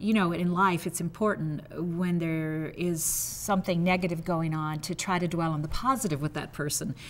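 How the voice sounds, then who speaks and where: A woman's fairly low voice at a moderate pace, with fairly even intonation and hardly any pauses. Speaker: retired TV news anchor. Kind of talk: interview reminiscence.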